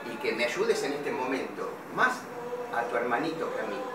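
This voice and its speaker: A man speaking fairly slowly amid loud background noise and audible room echo. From Argentina, Buenos Aires area. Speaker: father appealing for help. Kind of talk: personal video appeal. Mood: pleading, hurt. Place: shop. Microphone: phone near.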